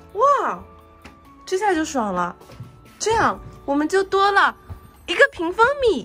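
Music plays behind a woman speaking in an extremely high pitch with very wide pitch swings and a raised, projected voice. She goes at a very slow pace with long, frequent pauses. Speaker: home gardener. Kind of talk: casual home vlog talk to camera.

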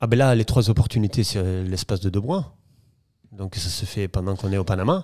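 A man speaks at a moderate pace in a fairly low pitch and a dark, mellow tone with ordinary pitch variation. The background is quiet and the sound is dry, with no echo. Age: 40s. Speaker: property dealer; podcast guest. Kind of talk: interview storytelling. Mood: relaxed, storytelling. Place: home room. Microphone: studio mic.

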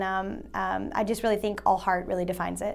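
A woman's flat, monotone delivery at a fairly quick pace, set against a quiet background. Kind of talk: interview answer. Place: studio. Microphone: lapel.

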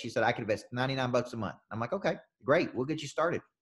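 Speaking at a very fast pace with ordinary pitch variation, a man with a Southern US accent is heard against a quiet background. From US South. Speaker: business coach. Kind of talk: coaching session. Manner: animated. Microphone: video call.

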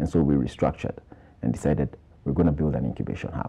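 A man's voice with vocal fry. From Kenya. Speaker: tech startup incubator executive. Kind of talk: TV interview. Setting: TV studio. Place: studio. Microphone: lapel.

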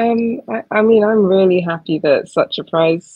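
A woman with a southern English accent against a quiet background. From Essex, England; England. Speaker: poet. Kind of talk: casual conversation; reading aloud. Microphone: video call.

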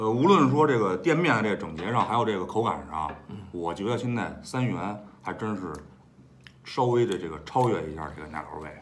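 Over light background noise, a man with a fairly low voice talks at a fairly quick pace, his pitch swinging very widely. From Beijing. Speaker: guest friend chatting about food. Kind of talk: casual chat. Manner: hesitant, mild-mannered. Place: home room. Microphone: phone near.

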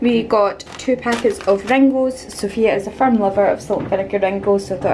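A woman speaks at a moderate pace with fairly even intonation. Noticeable background noise runs behind her. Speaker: vlogger. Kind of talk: casual vlog chat. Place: kitchen. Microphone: phone near.

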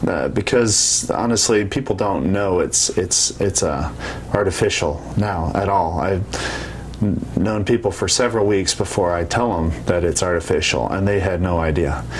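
With an American accent and a very deep, low pitch, a man speaks fairly slowly with hardly any pauses, lively intonation and very even loudness over light background noise. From Colorado. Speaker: soldier. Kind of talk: interview. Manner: halting. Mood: calm, matter-of-fact. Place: office.

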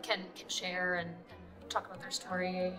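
Clear music plays behind a woman as she talks. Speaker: journalist interviewee. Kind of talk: interview answer. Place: hall.

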